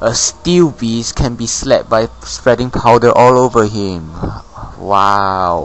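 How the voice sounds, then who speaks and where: Over noticeable background noise, a man speaks very slowly at medium pitch, with ordinary pitch variation. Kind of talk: game commentary narration. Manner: casual, rambling.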